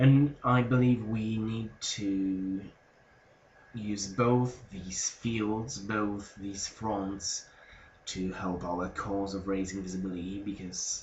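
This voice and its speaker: Quiet and very slow, a man speaks in a fairly low-pitched voice. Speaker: vlogger. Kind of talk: casual vlog monologue. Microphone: sound quality may be a bit bad.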